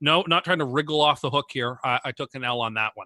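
Set against a quiet background, the voice has a bright, sharp tone and ordinary pitch variation, with a dry, close sound and no echo. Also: man. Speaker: sports podcast co-host. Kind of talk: casual banter, debate. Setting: remote call. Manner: excitable.

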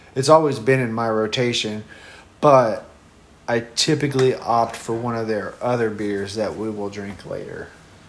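Fairly level intonation at a medium speed, with the room's echo clearly audible. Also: man, medium pitch for a man. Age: 30s. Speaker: podcast co-host. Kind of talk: casual chat while drinking beer.

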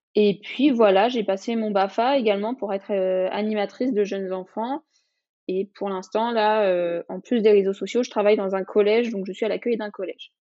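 With a normal speaking voice, a woman keeps a moderate pace and fairly even intonation. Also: medium pitch for a woman. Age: 20s. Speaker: social media influencer and mother. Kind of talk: interview testimony.

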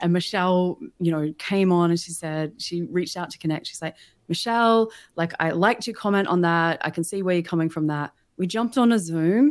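A woman with an Australian accent speaks at a fairly quick pace in an enthusiastic tone. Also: fairly low pitch for a woman, ordinary pitch variation, very clean recording, silent background. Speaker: LinkedIn marketing consultant and business founder. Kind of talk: livestream interview.

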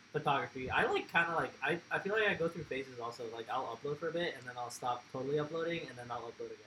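An animated man talking at a very fast pace over noticeable background noise. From Mexico. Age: 20s. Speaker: car enthusiast and photographer. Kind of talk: casual chat.

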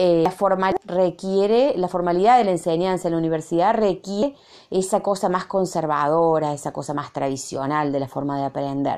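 The tone is dark and mellow, the pace fairly quick, and the background quiet. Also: woman, fairly low pitch for a woman, ordinary pitch variation, hardly any pauses. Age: 40s. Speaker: university lecturer. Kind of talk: recorded reflection monologue. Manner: halting, many fillers and repetitions.

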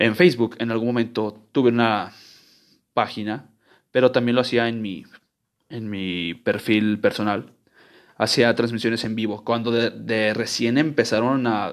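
A man's medium-pitched voice with a Mexican accent, fairly slow and fairly even in intonation, with long, frequent pauses. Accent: Mexican Spanish (Jalisco). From Guadalajara, Mexico. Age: 20s. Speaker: podcaster. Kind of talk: casual monologue. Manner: informal, slangy; halting, repeats words.

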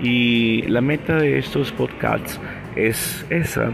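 A man talks in a room with audible echo while music plays in the background. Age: 50s. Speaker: podcast preacher. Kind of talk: devotional podcast talk.

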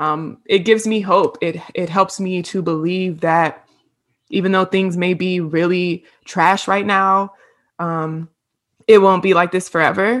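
Against a quiet background, a woman with an American accent talks at a fairly slow pace in an unremarkable speaking voice, medium in pitch, with fairly even intonation. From Virginia, US (Hampton). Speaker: podcast co-host, counseling graduate. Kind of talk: casual chat.

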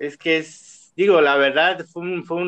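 Over a quiet background, a man with a high pitch speaks at a very slow pace. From Chiapas, Mexico. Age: 30s. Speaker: chef and food entrepreneur. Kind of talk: casual chat. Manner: hesitant, repeats words.

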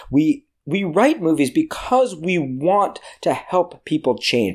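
On a very clean recording with a silent background, a man speaks. His pitch makes very wide swings. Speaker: screenwriting teacher and podcast host. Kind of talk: solo podcast lecture.

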